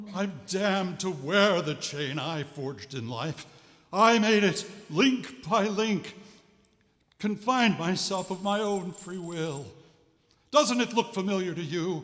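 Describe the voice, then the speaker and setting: A man performs a put-on character voice at a high pitch. He goes fairly slowly, with long, frequent pauses. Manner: ominous.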